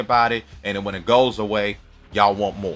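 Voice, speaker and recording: Music plays behind a man with an American accent and a fairly low pitch. His tone is animated and his pace fairly quick. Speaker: YouTuber. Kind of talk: casual commentary monologue.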